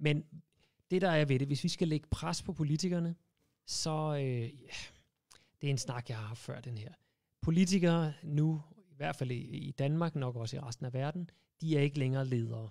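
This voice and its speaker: A man with a dark, mellow tone and ordinary pitch variation speaks over a quiet background, with long, frequent pauses and big swings in loudness. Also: moderate pace. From Denmark. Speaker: animal rights campaigner; guest. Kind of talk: casual interview. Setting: studio. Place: studio. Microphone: studio mic.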